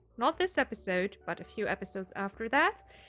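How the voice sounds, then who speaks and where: A woman speaks with a slight German accent. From Germany. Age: 20s. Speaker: gaming YouTuber. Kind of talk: casual game walkthrough. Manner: unscripted, some hesitations.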